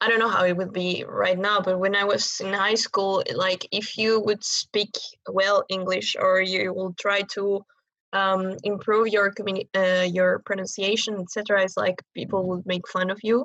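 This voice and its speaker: With a strong Chilean accent, a woman speaks at a moderate pace and medium pitch in a monotone, flat intonation, the sound dry and close with no echo. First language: Spanish. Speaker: rock and metal singer. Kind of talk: podcast interview. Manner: halting, many fillers.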